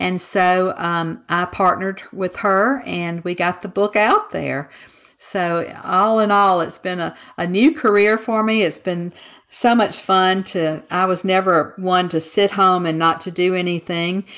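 A woman with a Southern US accent, medium in pitch, fairly slow, with fairly even intonation. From Mississippi, US South. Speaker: author. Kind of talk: casual interview chat.

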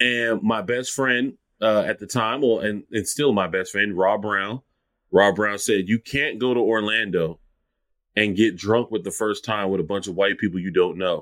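A man's fairly low voice with a slight Lowcountry South Carolina accent, ordinary pitch variation, and a moderate pace, on a very clean recording with a silent background. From Charleston, South Carolina. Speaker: food account creator and writer. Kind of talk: casual interview chat.

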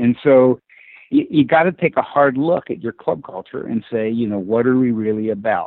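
A man speaks in an ordinary speaking voice at a medium pitch. His pace is moderate, and his pitch variation is ordinary. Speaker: club management consultant. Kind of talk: casual interview.

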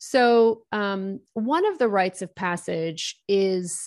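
A Maritime Canadian accent with ordinary pitch variation over a quiet background. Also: woman. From Nova Scotia, eastern Canada. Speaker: business coach and entrepreneur. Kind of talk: interview.

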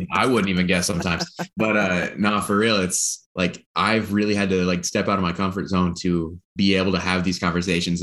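With an American accent, a man talks very fast in a very deep, low voice, his loudness very even and his intonation fairly even. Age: 20s. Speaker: startup worker. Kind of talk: interview.

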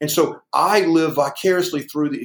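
Speaking at a fairly quick pace, a man with a Southern US accent has a fairly high pitch. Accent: Southern US (Georgia). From US South. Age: 60s. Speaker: weightlifting coach. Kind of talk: interview.

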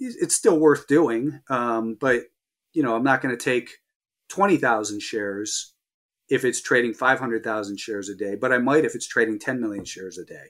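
A man speaks in an ordinary speaking voice at a moderate pace and medium pitch. The recording is very clean, with a silent background. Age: 50s. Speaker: professional stock trader. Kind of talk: interview.

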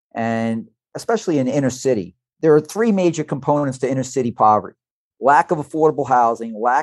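A man talks in a normal speaking voice. The sound is dry and close with no echo, against a quiet background. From New York, Brooklyn (Red Hook). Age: 60s. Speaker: business advisor and entrepreneur. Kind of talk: podcast interview.

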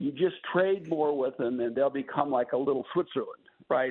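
A normal speaking voice with an American accent, at a moderate pace and with ordinary pitch variation. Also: man. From US Midwest. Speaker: former trade official. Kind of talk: radio interview.

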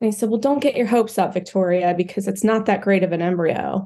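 A woman's medium-pitched speech shows ordinary pitch variation. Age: 40s. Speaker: infertility patient sharing her story. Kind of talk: casual interview. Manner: animated.

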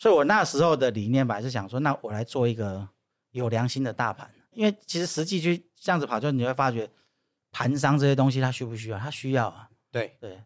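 A man speaks fairly quickly in an unremarkable speaking voice, pitched in the medium range with lively intonation. The recording is very clean, with a silent background. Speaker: former political staffer and social entrepreneur. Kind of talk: casual interview chat.

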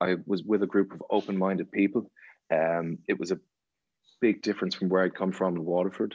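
In an Irish accent, a man speaks at a very deep, low pitch with fairly even intonation. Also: fairly quick pace. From Ireland. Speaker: actor. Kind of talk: casual chat.

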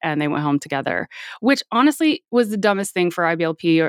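A woman with an American accent speaks at a fairly quick pace in a plain, everyday voice, her pitch fairly low. The recording is very clean with a silent background and a dry, close sound with no echo. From Florida. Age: 40s. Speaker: cult survivor. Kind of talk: interview testimony.

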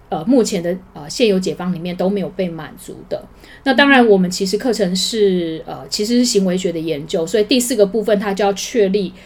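With an unremarkable speaking voice, a woman talks at a medium pitch with ordinary pitch variation. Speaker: high school teacher. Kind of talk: interview.

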